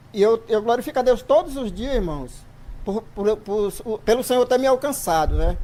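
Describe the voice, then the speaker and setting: A man speaks with ordinary pitch variation. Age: 60s. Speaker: church member. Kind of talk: testimony. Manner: halting.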